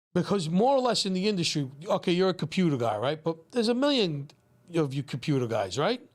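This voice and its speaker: A high-pitched man with a Brooklyn accent talks at a very fast pace in an animated tone with very wide pitch swings. His loudness stays very even, and the recording is very clean with a silent background. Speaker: pizzeria owner. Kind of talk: casual podcast chat. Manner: animated, repetitive.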